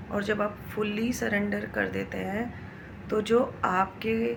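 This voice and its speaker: A woman's voice amid audible room echo and noticeable background noise. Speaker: spiritual vlogger. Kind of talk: spiritual talk to camera.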